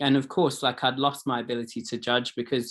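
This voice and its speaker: Speaking with a British accent, a man keeps a medium pitch and fairly even intonation. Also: very clean recording, silent background. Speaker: recovery advocate and helping professional. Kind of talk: panel discussion. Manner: casual, halting with fillers.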